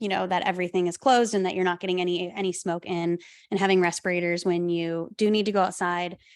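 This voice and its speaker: A woman's medium-pitched, monotone voice with flat intonation, at a very fast pace. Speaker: wildland firefighter and podcast host. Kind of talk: public talk with Q&A. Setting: talk with live audience, recorded via Zoom.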